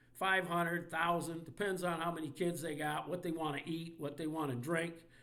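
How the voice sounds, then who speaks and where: At a moderate pace, a man with an American accent speaks in a high pitch and a bright, sharp tone, with audible room echo. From Indiana, US Midwest. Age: 60s. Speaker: sports commentator. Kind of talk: rant. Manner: animated.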